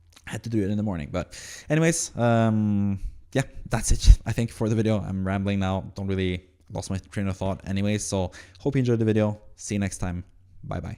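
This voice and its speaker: A man with a Norwegian accent speaks at a fairly quick pace, his pitch fairly low and his tone dark and mellow. The recording is very clean, with a silent background. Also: ordinary pitch variation. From Norway. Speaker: fantasy football content creator. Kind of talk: casual solo commentary. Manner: halting, many fillers.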